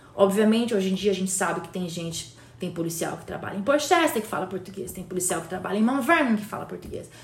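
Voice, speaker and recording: A woman with a medium-pitched voice talks very fast, with hardly any pauses and lively intonation. Her loudness swings widely, and the recording has audible room echo and noticeable background noise. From Brazil. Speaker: community leader. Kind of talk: casual chat. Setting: recording with a Hudson River view, trains nearby.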